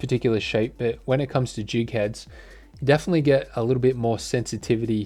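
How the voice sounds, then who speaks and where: A man with an Australian accent at a fairly quick pace, with ordinary pitch variation and music in the background. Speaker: fishing tackle reviewer. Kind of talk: product review. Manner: casual, hesitant with many fillers.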